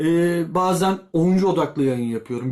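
A man speaks in a high pitch with lively intonation at a moderate pace. The recording is very clean, with a silent background. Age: 40s. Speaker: YouTube football commentator. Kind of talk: casual vlog commentary. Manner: conversational, with filler hesitations.

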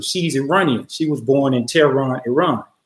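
A man talks with ordinary pitch variation in a room with audible echo. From Atlanta, Georgia. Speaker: storyteller. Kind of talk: live personal storytelling. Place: home room. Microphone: webcam.

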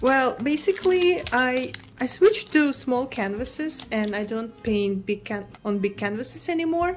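Against light background noise, a woman speaks at a moderate pace with hardly any pauses, her high voice moving in very wide pitch swings. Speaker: artist vlogger. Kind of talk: casual vlog chat. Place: home room.

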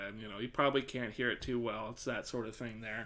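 A man's voice with a bright, sharp tone. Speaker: streamer. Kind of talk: live stream mic test. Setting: live stream at home desk. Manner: loud, projecting voice. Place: home room. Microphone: studio mic.

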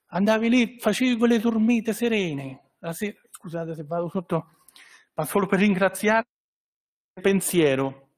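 Over a quiet background, a man with a high voice talks at a moderate pace with ordinary pitch variation and long, frequent pauses. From Italy, Recanati (Marche); Marche, Italy. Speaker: trade association representative. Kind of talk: press conference speech. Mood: warm, personal, grateful. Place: hall. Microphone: podium.

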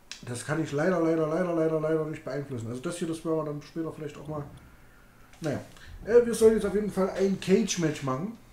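A man talks very fast in a fairly high voice with ordinary pitch variation, broken by long, frequent pauses. Audible room echo hangs around him. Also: big swings in loudness. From Thuringia, Germany (Greiz); Thuringia, Germany. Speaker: gaming streamer. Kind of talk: casual live-stream chat while gaming. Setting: home live stream. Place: home room.

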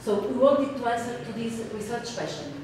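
A woman's fairly high voice with ordinary pitch variation at a moderate pace, in strong room echo over light background noise. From Portugal. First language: Portuguese. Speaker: researcher. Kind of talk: conference presentation. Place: meeting room.

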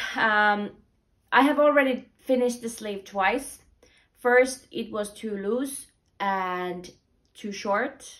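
A woman speaks very slowly in a fairly high voice with ordinary pitch variation, pausing long and often. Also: quiet background. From Finland. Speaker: knitting podcaster and knitwear designer. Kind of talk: casual vlog monologue. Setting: at home, tumble dryer running. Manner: halting, many fillers and repetitions. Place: home room. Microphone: camera far.

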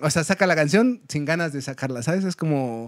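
A man speaks with a Mexican accent. The sound is dry with no echo, and the background is quiet. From Mexico. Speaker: folk punk musician; podcast guest. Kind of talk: casual chat. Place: studio.

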